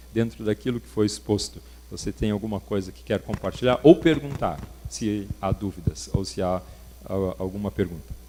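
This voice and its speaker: A plain, everyday voice, male, at a fairly quick pace with ordinary pitch variation. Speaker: workshop speaker. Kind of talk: lecture.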